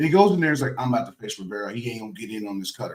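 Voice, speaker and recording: A man speaks with a somewhat breathy voice. His pitch swings very widely. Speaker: retired baseball player, podcast co-host. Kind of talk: casual podcast talk.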